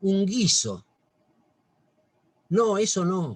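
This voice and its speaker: The man's voice sits at a high pitch, with ordinary pitch variation. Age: 60s. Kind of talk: religious talk. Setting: video call.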